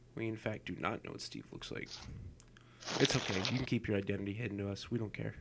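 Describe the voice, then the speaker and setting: A man whispers quietly. He speaks at a very fast pace. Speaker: podcast host. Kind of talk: casual chat. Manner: quiet, whisper-like. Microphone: sounds quiet on mic.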